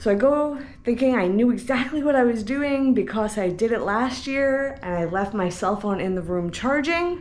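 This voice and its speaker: With lively intonation, a woman is speaking. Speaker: travel vlogger. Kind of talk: casual vlog chat. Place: home room. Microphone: phone near.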